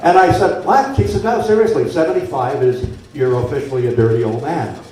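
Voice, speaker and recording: A man with an American accent talks at a fairly quick pace with very wide pitch swings, amid noticeable background noise and audible room echo. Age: 70s. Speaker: former radio host. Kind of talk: after-dinner speech. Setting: banquet room with audience.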